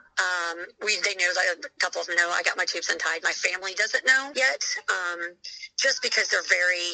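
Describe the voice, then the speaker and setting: Her tone is bright and sharp, her pitch medium. This woman keeps a moderate pace with ordinary pitch variation. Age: 40s. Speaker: mother sharing fertility journey. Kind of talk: interview testimony. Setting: phone call. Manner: loud.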